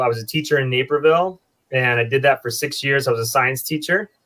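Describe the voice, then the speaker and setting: Bright and sharp in tone, a man with an American accent speaks at a very fast pace with fairly even intonation in a very clean recording with a silent background. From US Midwest, eastern Iowa. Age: 40s. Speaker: brewer. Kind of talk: casual chat.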